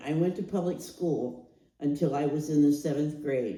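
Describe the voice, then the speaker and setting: With an American accent, a woman speaks slowly-ish at a very deep, low pitch in a dark, mellow tone, with audible room echo. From US Midwest, Canton, Ohio. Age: 80s+. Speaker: storyteller sharing life story. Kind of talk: oral history testimony.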